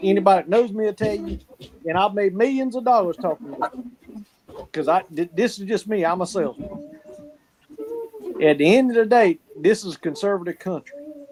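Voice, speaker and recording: A speaker with a strong Southern US accent talks at a fairly quick pace, with long, frequent pauses. The intonation is lively, and the sound is dry and close with no echo. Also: man, high pitch for a man. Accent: strong Southern accent, natural. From South Carolina. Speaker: salesman, football fan panelist. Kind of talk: casual live-stream chat. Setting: live stream. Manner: animated.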